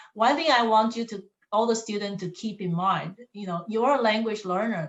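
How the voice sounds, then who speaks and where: A woman speaks with a non-native accent at medium pitch. Her pace is moderate, with ordinary pitch variation. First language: not English. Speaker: college staff member. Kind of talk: panel discussion.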